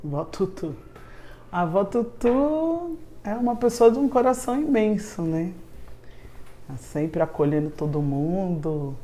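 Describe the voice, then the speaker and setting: A woman speaks at a very slow pace. There is audible echo in the room. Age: 50s. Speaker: charity president. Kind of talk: interview testimony.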